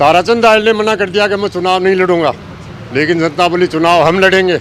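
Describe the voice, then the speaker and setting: This is a man with a high pitch and ordinary pitch variation. Background noise is noticeable. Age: 60s. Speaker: villager voter. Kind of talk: street interview.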